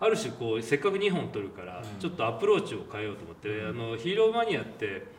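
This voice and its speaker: Amid noticeable background noise and audible room echo, a man talks fairly quickly. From Japan, Shizuoka (Hamamatsu). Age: 40s. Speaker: film director. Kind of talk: interview.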